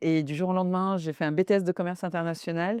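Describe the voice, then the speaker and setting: A woman's dark, mellow tone at a very fast pace, with fairly even intonation, a dry, close sound with no echo and a quiet background. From France (arrived from Syria/Lebanon at age 8). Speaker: finance executive and women-in-tech network director. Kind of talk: interview. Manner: hesitant, many fillers.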